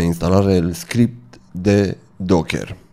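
A man's very deep, low voice with a dark, mellow tone, vocal fry, ordinary pitch variation and a non-native accent, set against a quiet background. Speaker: tech tutorial creator. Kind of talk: tutorial. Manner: halting. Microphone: studio mic.

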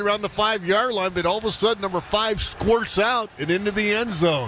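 Over noticeable background noise, a man with a high pitch and ordinary pitch variation speaks at a fairly quick pace in a dry sound with no echo. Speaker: radio color analyst. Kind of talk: casual sports analysis alongside play-by-play. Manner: conversational, relaxed. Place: booth.

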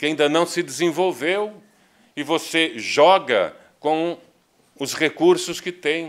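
A man speaks very slowly in a fairly high pitch for a man. His intonation is fairly even, and the background is quiet. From Brazil. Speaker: spiritist lecturer. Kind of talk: lecture. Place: hall.

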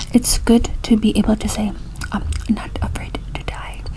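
A soft-spoken woman whispering over light background noise. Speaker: reader. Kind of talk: reading devotional text aloud. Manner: soft-spoken whispery reading voice. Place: home room. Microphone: webcam.

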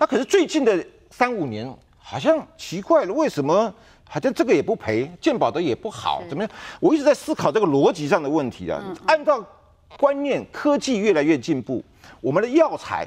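Over a quiet background, a man talks fairly quickly in a high pitch, his pitch swinging very widely. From Taiwan. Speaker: insurance expert; talk show guest. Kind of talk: TV talk show interview. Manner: many filler particles, hesitant. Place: studio. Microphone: lapel.

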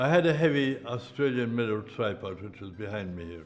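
A man with an Irish accent and lively intonation at a moderate pace, faint music in the background. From Ireland. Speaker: press photographer. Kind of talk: interview recollection. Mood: relaxed, wry recollection. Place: home room.

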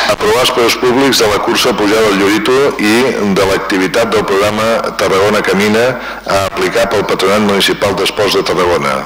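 Over noticeable background noise, the speech comes at a fairly quick pace with fairly even intonation. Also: man. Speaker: mayor chairing the municipal council. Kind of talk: formal council session chairing. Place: hall. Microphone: podium.

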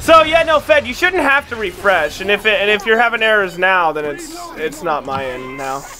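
Noticeable noise runs in the background. The delivery keeps a moderate speed. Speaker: gaming streamer. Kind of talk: casual chat. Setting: online voice chat at home. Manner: profane, excitable.

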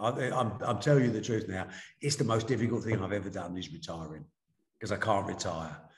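A man's fairly low, somewhat breathy voice with lively intonation, against a quiet background. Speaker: remote interview guest. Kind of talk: interview answer. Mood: reflective, candid. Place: office. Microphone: video call.

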